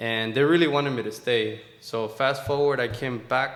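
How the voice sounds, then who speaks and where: A man in a Spanish accent at a moderate pace, with audible room echo and noticeable background noise. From Mexico. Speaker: military veteran and entrepreneur. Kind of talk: interview.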